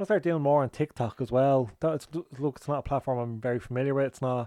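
At a very fast pace, a man with an Irish accent speaks at a medium pitch in a dark, mellow tone with fairly even intonation, the sound dry and close with no echo over a quiet background. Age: 30s. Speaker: podcast host. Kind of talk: casual solo chat. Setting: at home, garden. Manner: chatty, informal.

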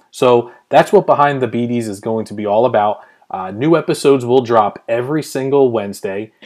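A man with an American accent talks at a fairly quick pace in an ordinary speaking voice, with ordinary pitch variation and big swings in loudness. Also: medium pitch for a man. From Pennsylvania, US. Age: 30s. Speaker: podcast host and blogger. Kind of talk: solo podcast monologue.

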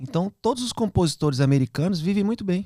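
Fairly quick and lively in intonation, a man talks in a normal speaking voice, with a dry, close sound and no echo. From Minas Gerais, Brazil (Belo Horizonte). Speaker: children's YouTube creator and musician. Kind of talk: casual podcast interview.

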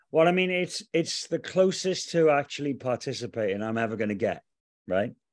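Speaking fairly quickly with a Cardiff accent, a man uses a fairly high pitch and very wide pitch swings. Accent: Welsh (Cardiff). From Wales, Cardiff. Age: 40s. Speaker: arena DJ and anthem singer. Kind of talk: casual chat.

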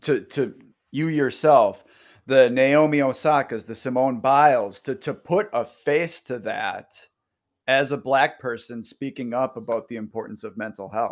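A man speaks slowly-ish, at a fairly slow pace, with a medium pitch, ordinary pitch variation and big swings in loudness. It is a plain, everyday voice on a very clean recording with a silent background. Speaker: podcast host. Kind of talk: casual interview chat.

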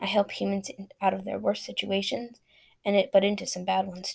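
A passage read aloud in a natural voice

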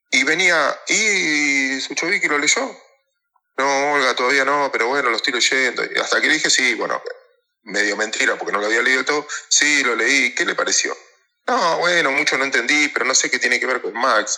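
A man speaks in a Rioplatense accent. His pace is moderate. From Mar del Plata, Argentina. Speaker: stock market operator and analyst. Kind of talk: interview.

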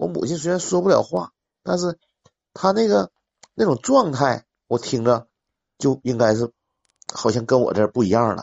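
A man speaks at a moderate pace and medium pitch, with very wide pitch swings. Long, frequent pauses break up his speech. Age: 40s. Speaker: caller. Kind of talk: casual chat.

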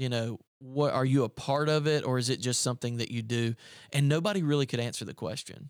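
A medium-pitched man with a Southern US accent at a very fast pace, on a very clean recording over a silent background. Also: ordinary pitch variation. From upstate South Carolina. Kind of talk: casual chat. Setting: studio.

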